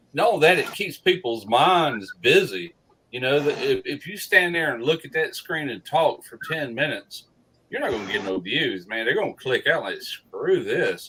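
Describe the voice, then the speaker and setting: A man with a Southern US accent speaks with big swings in loudness. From US South. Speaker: barbecue YouTuber. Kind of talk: casual chat. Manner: slow.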